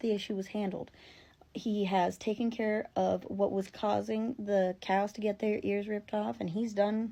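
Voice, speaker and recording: Against a quiet background, a woman speaks at a medium pitch. Her tone is dark and mellow, and her pace is moderate. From rural area. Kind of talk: casual storytelling to camera.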